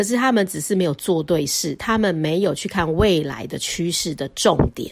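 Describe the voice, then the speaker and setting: This woman has a normal speaking voice, pitched fairly low. She moves at a moderate pace with lively intonation. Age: 40s. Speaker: podcast host, stay-at-home mother. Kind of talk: casual solo monologue.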